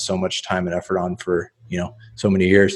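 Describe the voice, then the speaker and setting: Someone with an American accent speaks with monotone, flat intonation. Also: man. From US, central Oregon. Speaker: professional poker player. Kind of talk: interview.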